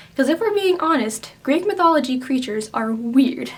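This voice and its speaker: A woman speaks quietly at a fairly quick pace. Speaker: book reviewer. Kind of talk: casual talk to camera.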